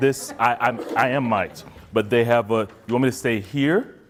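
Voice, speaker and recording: A man speaks over noticeable background noise. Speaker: therapist and conference speaker. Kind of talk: conference talk.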